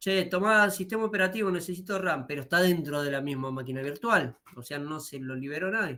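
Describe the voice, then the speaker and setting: A man talks in a raised, projected voice at a fairly quick pace. His tone is bright and sharp, with lively intonation. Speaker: university lecturer. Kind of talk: lecture. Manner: fast.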